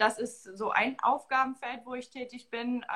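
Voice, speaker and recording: A woman's voice with fairly even intonation. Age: 20s. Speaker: marketing staff at a football club, dual master's student. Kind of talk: interview.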